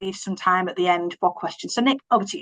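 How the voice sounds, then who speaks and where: The voice carries a Yorkshire accent, with a dry, close sound and no echo. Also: woman. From Yorkshire, England. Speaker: health service manager. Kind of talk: conference presentation.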